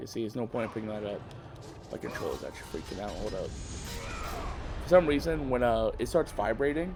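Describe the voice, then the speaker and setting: A man's fairly quick delivery comes through noticeable background noise. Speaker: gaming youtuber. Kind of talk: casual gameplay commentary. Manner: halting.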